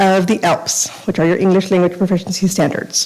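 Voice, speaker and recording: A woman speaks at a very fast pace with a medium pitch. Noticeable background noise runs under her voice. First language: Spanish. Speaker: school district bilingual program coordinator. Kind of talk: formal presentation. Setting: school board meeting.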